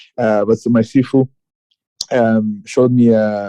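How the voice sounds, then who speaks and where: In a Quebec accent, a man with a medium-pitched, dark, mellow voice speaks at a fairly slow pace, the sound dry and close with no echo. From Quebec, Canada (Gatineau). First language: French. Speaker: martial arts fighter. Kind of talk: interview. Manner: halting, many fillers.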